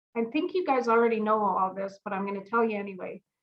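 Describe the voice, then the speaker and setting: A woman with a Canadian accent speaks loudly. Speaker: audiologist. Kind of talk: informative presentation. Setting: video call. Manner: animated.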